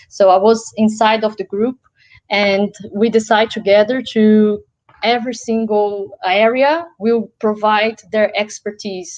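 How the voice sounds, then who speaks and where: A woman with a fairly high pitch, a Portuguese accent and fairly even intonation. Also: fairly slow pace. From Brazil. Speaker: social enterprise founder, event speaker. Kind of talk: interview Q&A.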